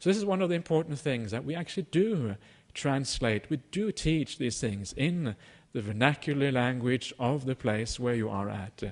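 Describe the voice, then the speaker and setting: A man with a Norwegian accent speaks at a moderate pace and medium pitch, with very wide pitch swings. The background is quiet. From Norway. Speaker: Buddhist teacher. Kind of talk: dharma talk. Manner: halting, many fillers.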